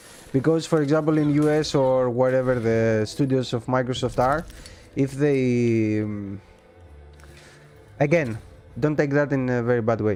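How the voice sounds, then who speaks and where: A medium-pitched man in a Greek accent, with fairly even intonation, long, frequent pauses and music in the background. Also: moderate pace. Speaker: gaming livestreamer. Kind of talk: casual livestream commentary. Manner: halting.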